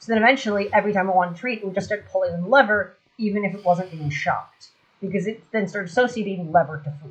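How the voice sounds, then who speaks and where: Very fast mumbling. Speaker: gaming streamer. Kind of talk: casual chat.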